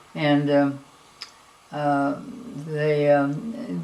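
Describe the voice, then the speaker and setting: Over noticeable background noise and audible room echo, a woman speaks with a very deep, low pitch. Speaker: elderly relative sharing family history. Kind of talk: family reminiscence, oral history interview. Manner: halting, many fillers and restarts.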